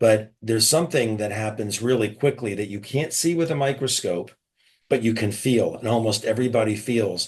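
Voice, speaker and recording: Somewhat breathy, a man talks at a fairly quick pace in a medium pitch with ordinary pitch variation. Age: 60s. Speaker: retired surgeon, supplement promoter. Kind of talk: sales pitch. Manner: animated.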